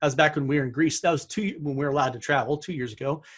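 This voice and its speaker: Ordinary pitch variation comes through in a somewhat breathy voice. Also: man. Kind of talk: webinar presentation. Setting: live webinar with screen share. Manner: fast; animated.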